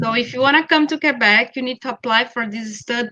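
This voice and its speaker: In a dry, close sound with no echo, a speaker with a Brazilian Portuguese accent has a bright, sharp tone and ordinary pitch variation. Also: woman. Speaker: school network representative. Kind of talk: online info session.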